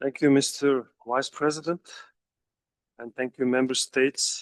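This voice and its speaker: With a Mongolian accent, a man talks in a medium pitch and fairly even intonation. The sound is dry and close with no echo. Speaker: government delegate. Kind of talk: formal statement.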